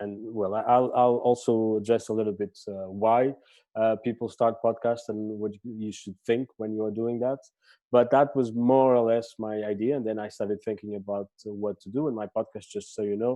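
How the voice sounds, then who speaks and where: Monotone, flat intonation from a man with a Portuguese accent, fairly low in pitch and moderate in pace. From Portugal. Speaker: podcaster and festival director. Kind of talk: talk to a training group. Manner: halting, many fillers.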